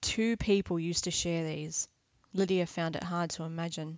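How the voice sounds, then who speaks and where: At a moderate pace, the woman talks in a fairly low pitch. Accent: Australian. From Australia. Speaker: author reading her novel. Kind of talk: literary audiobook reading.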